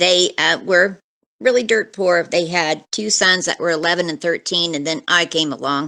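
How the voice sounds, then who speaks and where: A woman with a US Midwestern accent speaks at a moderate pace. Her voice is fairly low in pitch, with ordinary pitch variation and a bright, sharp tone. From US Midwest, Kansas. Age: 60s. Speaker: retired nurse, eyewitness. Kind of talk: interview testimony.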